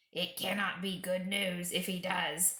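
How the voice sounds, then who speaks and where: A woman puts on a raspy character voice at a medium pitch, speaking at a fairly slow pace in a flat monotone. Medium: read story. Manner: grim, low.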